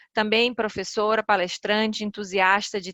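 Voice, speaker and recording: With a Ceará accent, a woman speaks in a bright, sharp tone at a moderate pace, her intonation monotone and flat, in a dry, close sound with no echo. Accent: northeastern Brazilian (Ceará). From Ceará, northeastern Brazil. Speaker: corporate lawyer and compliance officer. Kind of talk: webinar presentation.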